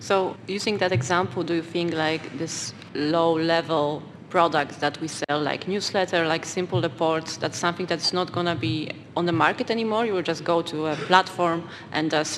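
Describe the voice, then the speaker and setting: Noticeable background noise sits behind a woman's fairly low-pitched voice. She talks at a moderate pace with fairly even intonation. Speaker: podcast co-host, product lead. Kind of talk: panel discussion, live.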